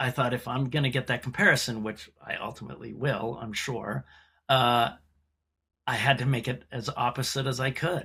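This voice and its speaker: On a very clean recording with a silent background, a man speaks at medium pitch and a moderate pace, with vocal fry and a bright, sharp tone. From US Mid-Atlantic (Montgomery County, Maryland, DC suburbs). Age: 60s. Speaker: actor. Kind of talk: casual chat. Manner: animated.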